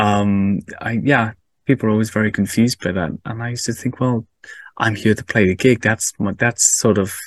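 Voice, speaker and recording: A man with a Cardiff accent speaks at a moderate pace, with fairly low pitch and fairly even intonation. The sound is dry and close with no echo, over a quiet background. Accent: Welsh (Cardiff). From Wales, Cardiff. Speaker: podcast host. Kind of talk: casual chat.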